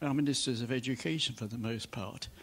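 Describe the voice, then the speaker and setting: A man with a plain, everyday voice speaks at a fairly quick pace with ordinary pitch variation. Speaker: audience member. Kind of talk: audience question. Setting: stage with audience. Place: hall.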